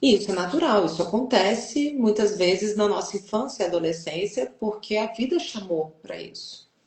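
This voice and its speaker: A woman talks at a moderate pace with a strong Brazilian accent. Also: medium pitch for a woman, lively intonation. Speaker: journalist and family constellation facilitator. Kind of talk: interview. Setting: online live stream.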